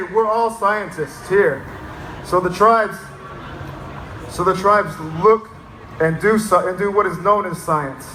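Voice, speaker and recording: Projecting his voice over noticeable background noise, a man with an American accent speaks at a moderate pace and high pitch, with ordinary pitch variation. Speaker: fish biologist and educator. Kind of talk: public speech. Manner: unscripted, conversational.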